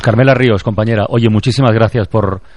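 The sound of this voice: With a slightly mellow tone and fairly low pitch, a man talks at a fast pace with fairly even intonation.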